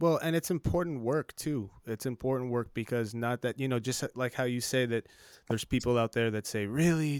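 A man talks at a moderate pace with a medium pitch and ordinary pitch variation. He has an ordinary speaking voice. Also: dry, close sound with no echo. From South Texas, Laredo. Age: 40s. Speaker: podcast host. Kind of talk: casual interview. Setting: home studio, remote call.

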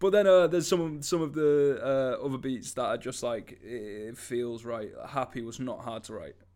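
A plain, everyday voice moves at a moderate pace with hardly any pauses. Its pitch varies in an ordinary way while loudness swings widely. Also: man, medium pitch for a man. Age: 20s. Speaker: musician and podcast co-host. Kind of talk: casual chat.

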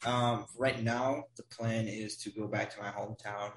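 A man with an American accent speaks at a moderate pace. His fairly low voice stays flat and monotone. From Wisconsin, US Midwest. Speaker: guest, college student abroad. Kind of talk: casual chat.

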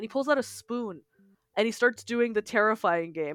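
A woman with a Canadian accent speaks at a fairly quick pace in an animated tone with lively intonation. The sound is dry and close with no echo, on a very clean recording with a silent background. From Ontario, Canada. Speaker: podcast co-host, teacher. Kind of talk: casual chat.

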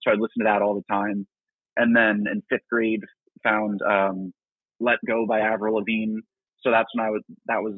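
A man with an American accent, fairly low in pitch and monotone, flat in intonation, at a moderate pace with long, frequent pauses. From New Jersey. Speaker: rock band singer and guitarist. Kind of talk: casual interview. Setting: call-in line to live show.

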